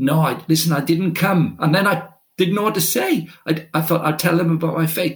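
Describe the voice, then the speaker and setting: A high-pitched man with a Welsh accent, at a moderate pace, with fairly even intonation. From Wales. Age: 50s. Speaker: football director and sports ministry leader. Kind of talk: interview.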